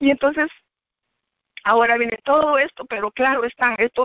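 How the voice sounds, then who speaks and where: A woman with a high voice keeps her words at a moderate speed. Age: 60s. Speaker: church member giving testimony. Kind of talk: testimony.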